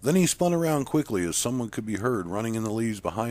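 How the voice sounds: Lively intonation in a natural reading voice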